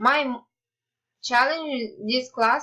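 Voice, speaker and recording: A bright, sharp tone with a Ukrainian accent, fairly slow pace and ordinary pitch variation. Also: woman. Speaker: student. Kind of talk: class presentation.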